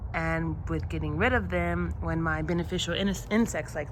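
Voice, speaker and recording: A woman speaks at a fairly slow pace amid audible room echo. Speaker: gardening vlogger. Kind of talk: casual vlog narration. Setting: outdoors in backyard garden. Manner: halting, hesitant with fillers.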